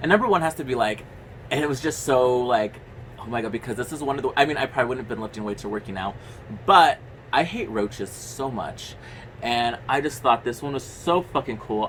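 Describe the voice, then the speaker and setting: A man talks at a very fast pace with medium pitch. His tone is animated and his intonation lively. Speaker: horror movie youtuber. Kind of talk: casual movie review monologue.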